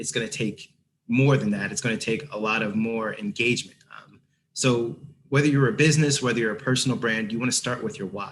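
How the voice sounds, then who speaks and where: A man's medium-pitched voice moves fairly quickly, with ordinary variation in pitch. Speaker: creative agency producer, guest speaker. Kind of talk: presentation. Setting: video call. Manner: fast; casual, unconventional.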